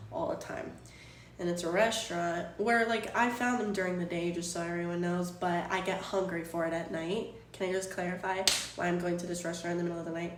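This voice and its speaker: A woman's very fast speech, with audible room echo and noticeable background noise. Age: 20s. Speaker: live streamer. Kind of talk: casual chat. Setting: live stream from home. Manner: animated.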